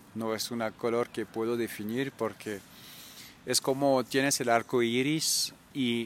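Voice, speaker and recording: A man with a medium-pitched voice speaks fairly slowly, his intonation flat and monotone. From France, Normandy. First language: French (speaking Spanish). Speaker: traveler and cultural manager. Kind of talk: interview. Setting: outdoors.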